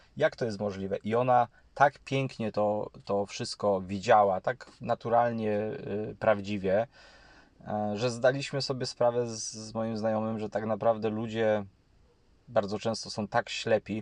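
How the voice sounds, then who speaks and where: A man speaks at a fairly slow pace in a medium pitch, with fairly even intonation and a dry, close sound with no echo. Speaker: YouTube channel host on housing and property. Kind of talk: monologue commentary to camera. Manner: halting with frequent fillers and repetitions.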